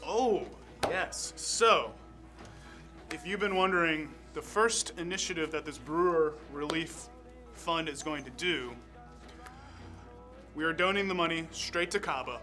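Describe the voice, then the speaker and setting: Music plays in the background as a man speaks with long, frequent pauses. His voice is high-pitched with ordinary pitch variation. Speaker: beer festival organizer and fundraiser host. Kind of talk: live stream event host talk to camera.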